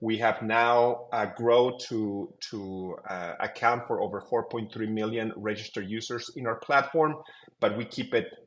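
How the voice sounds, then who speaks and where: The speaker has a Mexican accent and a fairly slow pace. The intonation stays fairly even. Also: man, medium pitch for a man. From Mexico. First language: Spanish. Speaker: tech company co-founder. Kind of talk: interview.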